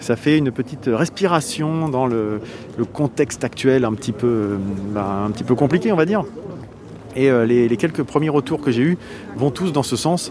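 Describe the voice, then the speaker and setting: Against noticeable background noise, a man of medium pitch speaks at a moderate pace with lively intonation and long, frequent pauses. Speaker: podcast host. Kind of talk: roving interviews at a festival. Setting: outdoors at a harbour festival. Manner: hesitant, many fillers.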